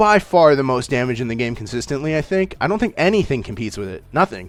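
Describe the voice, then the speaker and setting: A man talks at a very fast clip, his pitch leaping very widely up and down. Music plays behind him. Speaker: gaming content creator. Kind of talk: casual tier-list commentary. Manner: animated.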